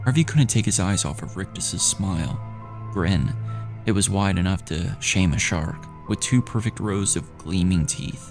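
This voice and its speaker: Over music in the background, a man with a very deep, low voice talks at a moderate pace with lively intonation. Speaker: indie actor and gamer. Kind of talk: third-person narration of a children's horror novel.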